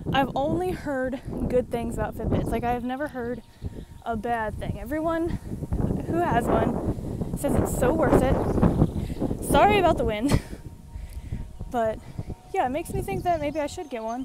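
A woman speaks at a fairly slow pace, leaving long, frequent pauses. The sound is dry with no echo, over loud background noise. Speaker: vlogger. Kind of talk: casual vlog chat. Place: street. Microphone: earbuds.

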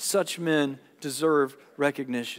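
Fairly slow pace from a man, over a quiet background. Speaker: pastor. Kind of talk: sermon. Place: church.

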